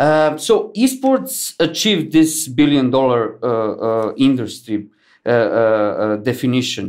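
An unremarkable speaking voice from a man, medium in pitch, with lively intonation at a fairly slow pace, on a very clean recording with a silent background. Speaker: podcast host. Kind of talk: interview.

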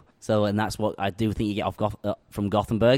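A man with a Yorkshire accent talks very fast at a fairly low pitch. The sound is dry and close with no echo, on a very clean recording with a silent background. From northern England, West Yorkshire (Huddersfield). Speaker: head brewer. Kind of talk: casual interview over beers. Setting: brewery tap room.

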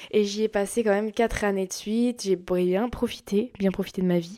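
A woman's dark, mellow tone at a moderate pace. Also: very clean recording, silent background. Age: 20s. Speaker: podcast host. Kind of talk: casual monologue. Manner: halting.

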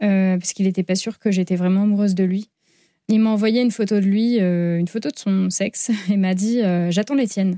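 A woman speaks at a fairly quick pace in a dark, mellow tone and a medium pitch. Her intonation stays fairly even, and the recording is very clean with a silent background. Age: 20s. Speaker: abuse survivor and author. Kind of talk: testimony. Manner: halting.

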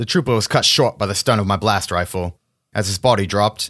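Over a quiet background, a speaker reads aloud in a natural voice with ordinary pitch variation.

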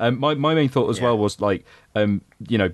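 A man talks at a fairly quick pace with lively intonation in an unremarkable speaking voice. The sound is dry and close with no echo, and the background is quiet. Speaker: podcast co-host. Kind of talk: casual podcast chat about comic book movies.

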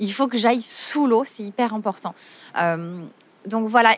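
Here a woman talks at a moderate pace in a fairly high pitch. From Marseille, southern France. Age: 40s. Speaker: yoga teacher. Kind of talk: interview. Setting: outdoors by the sea. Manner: hesitant.

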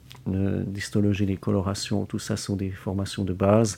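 With a dark, mellow tone, a man talks at a fairly low pitch. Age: 20s. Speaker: biomedical lab technician. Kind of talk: interview. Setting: hospital laboratory.

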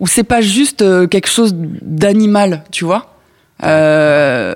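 A woman's medium-pitched voice, very slow, with lively intonation, in a dry, close sound with no echo. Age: 30s. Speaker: podcast guest. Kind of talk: casual chat. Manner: halting.

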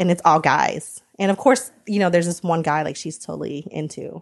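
A woman with an American accent, fairly low-pitched and fairly quick, with vocal fry, ordinary pitch variation and a quiet background. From United States. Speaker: subscription box founder. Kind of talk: casual interview chat. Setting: in person.

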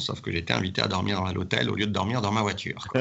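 Fairly quick speech from a man at a fairly low pitch, ordinary pitch variation, audible room echo and noticeable background noise. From France, Saint-Étienne area. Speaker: rugby club president. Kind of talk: interview.

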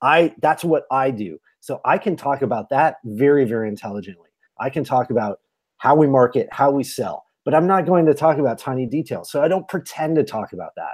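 A man with an unremarkable speaking voice talks at a fairly quick pace, his fairly high pitch rising and falling in lively intonation. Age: 40s. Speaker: tech entrepreneur and podcaster. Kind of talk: interview.

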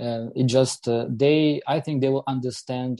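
The voice has a dark, mellow tone. The pace is very slow. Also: man. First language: Ukrainian. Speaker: politician. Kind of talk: panel discussion. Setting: video call.

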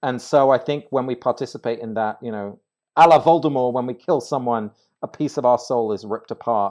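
Over a quiet background, a man with an English accent talks at a fairly quick pace, his loudness swinging widely. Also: medium pitch for a man, ordinary pitch variation. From England. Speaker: ritual designer and author. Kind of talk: casual interview chat. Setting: recorded with hosts in person.

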